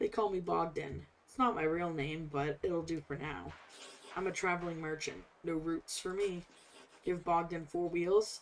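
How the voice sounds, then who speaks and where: A put-on character voice, raspy in texture. It moves at a moderate pace with fairly even intonation. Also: woman, fairly low pitch for a woman. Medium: game stream. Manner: wry, folksy, talkative.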